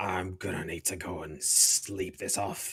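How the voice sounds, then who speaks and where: In a put-on character voice, a man growls in a raspy, very deep, low pitch at a fairly slow pace. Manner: approving, weary.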